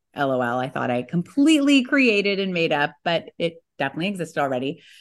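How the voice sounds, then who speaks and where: A woman with an American accent speaks at a fairly quick pace in a very deep, low pitch. Her tone is animated, her intonation lively, and the background is quiet. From California. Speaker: professional organizer and author. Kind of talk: casual interview chat.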